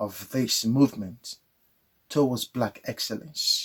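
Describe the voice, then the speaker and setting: A man with a Nigerian accent speaks at a very slow pace with ordinary pitch variation, in a dry, close sound with no echo. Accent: Nigerian Igbo English. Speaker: spirituality channel host. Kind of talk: monologue to camera.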